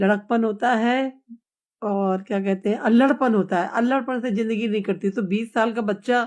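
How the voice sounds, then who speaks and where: Over a quiet background, a woman uses a normal speaking voice at a fairly high pitch with ordinary pitch variation. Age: 60s. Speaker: live streamer. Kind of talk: casual live chat with viewers. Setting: live stream.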